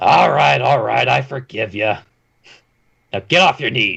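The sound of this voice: Using a gruff, put-on character voice, a man speaks at a fairly slow pace.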